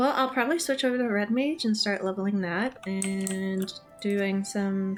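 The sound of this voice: Pitch variation stays ordinary in this unforced reading voice.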